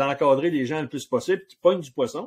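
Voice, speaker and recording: This is a man speaking. He has a Quebec accent. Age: 60s. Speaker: outfitter and hunting guide. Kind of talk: casual interview chat.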